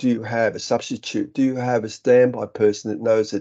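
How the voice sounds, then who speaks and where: Against a quiet background, a man with an Australian accent talks at a moderate pace in a medium pitch with a dark, mellow tone. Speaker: software company director. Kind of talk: webinar presentation. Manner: halting.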